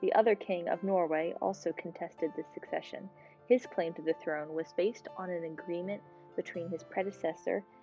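Behind this woman, music plays in the background. Her voice sits at a fairly low pitch. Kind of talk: tutorial narration with history explanation. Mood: calm, friendly.

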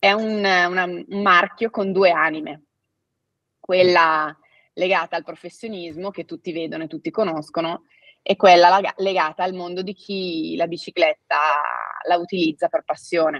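A woman's fairly low voice, fairly even in intonation, at a fairly slow pace over a quiet background. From Italy. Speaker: family owner of cycling apparel company; guest. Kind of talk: interview. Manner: hesitant, with fillers. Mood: friendly, storytelling. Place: home room.

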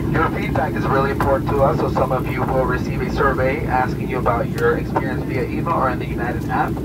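Speech races along at a very fast pace with hardly any pauses, over loud background noise. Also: man. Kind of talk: cabin announcement. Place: plane.

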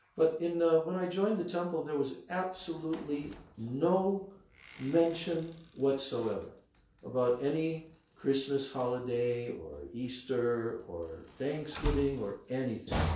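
At a fairly slow pace, a man speaks with a fairly high pitch. Audible room echo surrounds his voice. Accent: American. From United States. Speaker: spiritual teacher. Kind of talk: religious lecture. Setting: temple. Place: home room.

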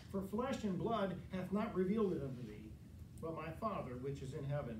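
A fairly quick pace and ordinary pitch variation, set against noticeable background noise. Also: man. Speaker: preacher. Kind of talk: sermon. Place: church. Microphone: camera far.

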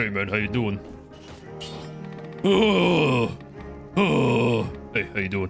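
Over clear music in the background, a man does a put-on character voice, fairly low in pitch and delivered at a very slow pace. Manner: macho, swaggering.

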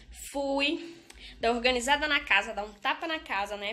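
Moving at a moderate pace, a woman speaks with ordinary pitch variation. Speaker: beauty vlogger. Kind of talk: casual vlog chat. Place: home room. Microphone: phone near.

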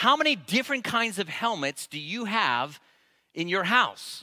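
A raised, projected voice with a bright, sharp tone rings out over a quiet background. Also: man. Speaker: pastor. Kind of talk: sermon. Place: church. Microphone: headset.

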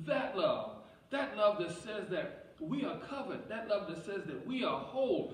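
Amid audible room echo, a man talks fairly slowly in a high pitch with ordinary pitch variation. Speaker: pastor. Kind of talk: sermon. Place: church.

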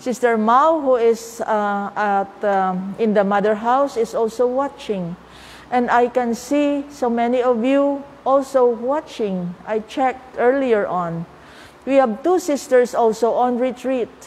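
At a fairly slow pace, a woman talks in a high pitch with ordinary pitch variation. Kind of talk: spiritual talk. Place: church. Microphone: lapel.

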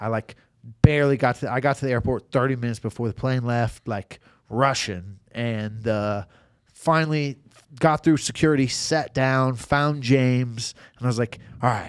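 A man speaks at a medium pitch with ordinary pitch variation. His pace is moderate, and the background is quiet. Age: 30s. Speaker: professional MMA fighter; podcast guest. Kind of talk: casual chat. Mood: relaxed, animated storytelling. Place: studio. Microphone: studio mic.

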